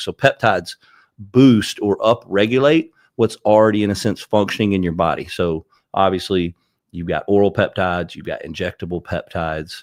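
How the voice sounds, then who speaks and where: Dry and close with no echo, on a very clean recording with a silent background, a man with a strong Southern US accent speaks at a fairly low pitch. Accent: thick Southern US. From Alabama, US South. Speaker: peptide company owner and wellness clinic owner. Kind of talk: podcast interview.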